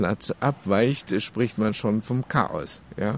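A man with a Chinese accent speaks at a very slow pace and a medium pitch. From China, Beijing. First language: Chinese (speaking German). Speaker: interviewee. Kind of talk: interview.

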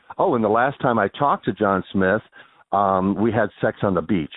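A man with a plain, everyday voice talks at a fairly quick pace and a fairly low pitch. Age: 50s. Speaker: former phone sex worker and AIDS activist. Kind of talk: interview.

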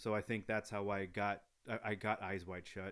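A man with a plain, everyday voice at a moderate pace, on a very clean recording with a silent background. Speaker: film editor. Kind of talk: casual chat.

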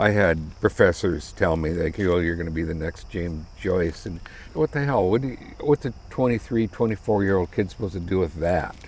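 This man has a very deep, low pitch and an American accent. He talks at a moderate pace with lively intonation. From US Midwest (South Dakota). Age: 60s. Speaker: retired high school ceramics teacher and potter. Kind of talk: casual chat.

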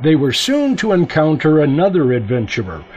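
Noticeable background noise runs under this clip. A man speaks with a fairly high pitch and lively intonation. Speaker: news reporter. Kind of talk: scripted news reporting.

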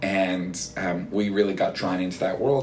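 The speaker has a Canadian accent. Noticeable background noise sits behind the voice. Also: man. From Canada, Toronto suburbs. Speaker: rabbi. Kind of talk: casual interview. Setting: office.

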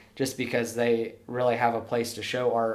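Audible room echo around a man speaking at medium pitch. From eastern New Mexico (small town near Clovis). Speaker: artist and vintage clothing shop owner. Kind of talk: casual interview.

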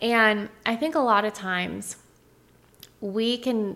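A woman speaks in a fairly high voice with a bright, sharp tone and ordinary pitch variation. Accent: American. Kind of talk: casual faith-based chat.

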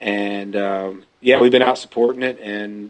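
A man with a Georgia accent speaks at a moderate pace and a fairly low pitch, his intonation monotone and flat. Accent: US Southern (Georgia). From Georgia, US South. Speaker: singer-songwriter. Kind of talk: phone interview.

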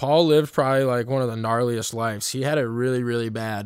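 A man talks at medium pitch in a plain, everyday voice. His intonation is fairly even on a very clean recording with a silent background. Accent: American. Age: 20s. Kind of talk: devotional talk. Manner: casual.

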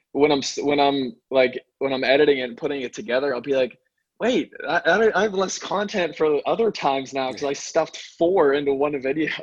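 An ordinary speaking voice, a man with an American accent talks at a fairly high pitch and a fairly quick pace with ordinary pitch variation. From Pittsburgh, Pennsylvania. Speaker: chiropractor. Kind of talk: interview.

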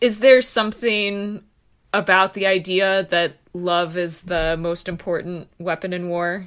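A woman speaks at a fairly slow pace in a plain, everyday voice of medium pitch, with an American accent, fairly even intonation and a very clean recording with a silent background. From Texas. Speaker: podcast co-host. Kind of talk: casual chat.

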